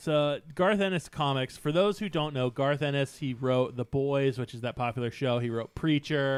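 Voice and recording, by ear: Someone is reading aloud in a natural voice. The pitch varies an ordinary amount.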